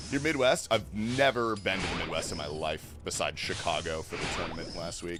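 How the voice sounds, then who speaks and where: Talking at a fairly quick pace with hardly any pauses, a man with an American accent and a fairly low voice swings his pitch very widely over background music. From US East Coast, then West Coast from age nine. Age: 30s. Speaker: video game streamer. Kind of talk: casual live-stream chat. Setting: live stream. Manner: casual, joking.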